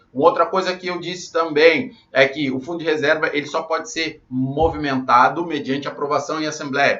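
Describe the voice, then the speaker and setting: Speaking with a Brazilian accent, a man talks at a moderate pace with hardly any pauses. His pitch is fairly high with ordinary variation, and his loudness swings widely. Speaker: condominium management instructor. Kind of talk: live online class. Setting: livestream.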